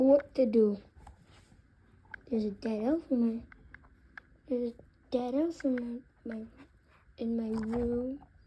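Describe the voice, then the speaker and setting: A cartoonish character voice, female-sounding and high-pitched, stops for long, frequent pauses. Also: fairly slow pace. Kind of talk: casual talk to camera. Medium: puppet.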